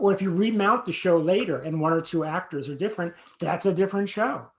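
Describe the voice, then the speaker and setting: Against a quiet background, a man with a high pitch speaks very fast with ordinary pitch variation. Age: 60s. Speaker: playwright and actor. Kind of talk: interview conversation. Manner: halting, with many repeated words.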